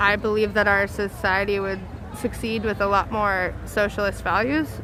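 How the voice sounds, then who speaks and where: A woman speaks at a medium pitch. Noticeable background noise runs beneath her voice. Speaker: protest livestreamer. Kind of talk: live street commentary. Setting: outdoors at night protest. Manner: loud.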